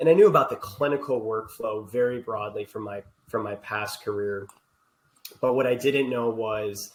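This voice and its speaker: Speaking at a moderate pace with a medium pitch and ordinary pitch variation, a man shows big swings in loudness. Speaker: healthcare technology executive. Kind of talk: podcast interview.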